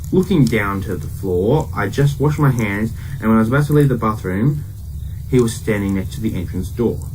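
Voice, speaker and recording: Through noticeable background noise and audible room echo, a man with a fairly low pitch moves at a fairly quick pace with very wide pitch swings. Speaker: horror story narrator. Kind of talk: reading aloud. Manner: casual, unpolished reading.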